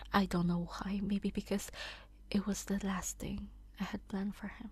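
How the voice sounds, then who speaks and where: A soft-spoken woman at a fairly slow pace. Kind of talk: sleep story reading.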